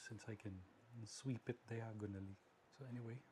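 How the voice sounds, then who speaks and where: Somewhat breathy, a man talks at a fairly quick pace in a dark, mellow tone. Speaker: tech hobbyist vlogger. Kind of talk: tutorial.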